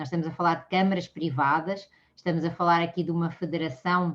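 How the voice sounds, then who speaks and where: A moderate pace in a Portuguese accent, against a quiet background. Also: woman. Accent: Portuguese accent, kept. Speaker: mediation speaker. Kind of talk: lecture. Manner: halting, many fillers.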